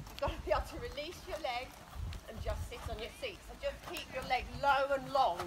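Fairly quick female speech with noticeable background noise. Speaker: dressage rider. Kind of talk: riding tutorial. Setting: outdoors. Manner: loud, projecting. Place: open country. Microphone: camera far.

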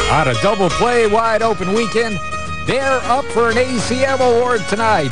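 A man speaks at a moderate pace in a dry sound with no echo, with clear music in the background. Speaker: country radio DJ. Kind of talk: radio aircheck, on-air DJ patter. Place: studio. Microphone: studio mic.

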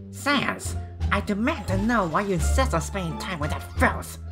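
A put-on character voice speaks at a moderate pace. Loud music plays in the background. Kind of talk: fan comic dub. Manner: angry, demanding.

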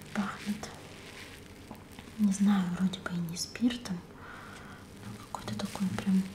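Very slow speech from a woman, with noticeable background noise. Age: 30s. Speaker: ASMR and beauty blogger. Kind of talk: ASMR cosmetics haul, casual talk to camera. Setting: close mic, studio-like. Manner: muffled, quiet. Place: home room.

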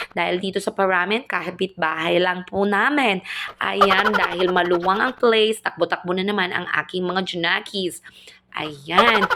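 At a fairly slow pace, a woman talks at a medium pitch with ordinary pitch variation over noticeable background noise. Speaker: family vlogger. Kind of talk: vlog voice-over narration.

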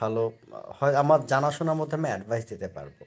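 The recording is very clean, with a silent background. In it, a man speaks with ordinary pitch variation. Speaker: new YouTuber, sales professional. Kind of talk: casual live stream chat. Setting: at home lying on bed. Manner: halting.

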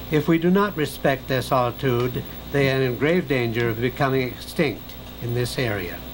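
A calm, medium-pitched male voice at a moderate pace with ordinary pitch variation, over noticeable background noise. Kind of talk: nature documentary narration. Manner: calm, measured, hushed and reverent, like a wildlife documentary narrator.

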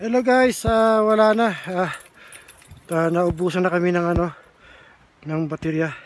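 Pitch varies in an ordinary way while the words come very slowly. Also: man, high pitch for a man. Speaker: travel vlogger. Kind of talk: casual vlog narration. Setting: outdoors on a hiking trail. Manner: halting.

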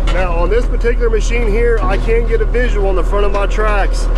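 A man talks at a fairly quick pace with ordinary pitch variation. The sound is dry with no echo, but loud background noise is present. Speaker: equipment operator trainer. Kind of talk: tutorial. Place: farm machine. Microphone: phone near.

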